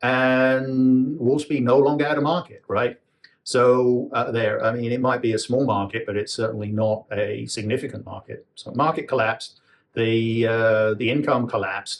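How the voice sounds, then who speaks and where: Fairly even in intonation, a man at medium pitch speaks at a moderate pace. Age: 60s. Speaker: retired engineer vlogger. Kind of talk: casual monologue. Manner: halting, many fillers.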